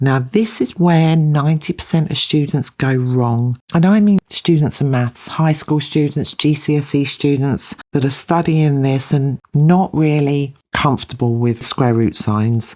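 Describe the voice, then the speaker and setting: A woman with a very deep, low pitch and a dark, mellow tone speaks at a fairly slow pace with ordinary pitch variation. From UK. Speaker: maths teacher. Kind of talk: tutorial.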